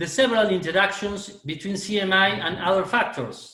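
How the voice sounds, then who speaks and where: A man speaks with a high pitch in a Spanish accent. Audible room echo surrounds his voice. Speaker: oral medicine lecturer. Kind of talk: webinar Q&A answer. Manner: halting.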